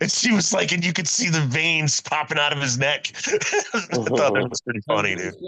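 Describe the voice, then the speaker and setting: A man's loud voice carries a bright, sharp tone. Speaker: wrestling podcast co-host. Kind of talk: casual chat. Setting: live stream. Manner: animated.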